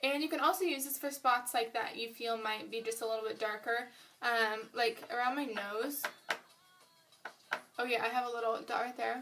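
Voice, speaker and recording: A woman with a high pitch speaks at a moderate pace with fairly even intonation, leaving long, frequent pauses. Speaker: beauty vlogger. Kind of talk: makeup tutorial. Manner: mumbling; casual, filler-heavy.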